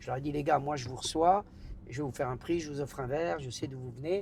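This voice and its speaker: Somewhat breathy, a man talks at a very fast pace and a fairly high pitch. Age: 70s. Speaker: nightclub owner. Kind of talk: interview conversation. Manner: casual, slangy; halting, repetitions.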